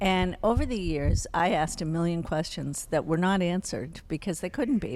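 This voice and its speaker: A woman talks at a fairly quick pace in a plain, everyday voice. Her pitch sits fairly low, with ordinary variation. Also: very clean recording, silent background. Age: 60s. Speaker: psychologist and family therapist. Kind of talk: interview.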